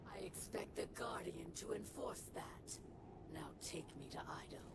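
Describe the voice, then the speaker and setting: Someone whispers in a put-on character voice at a moderate pace. Loud background noise fills the clip. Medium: video game.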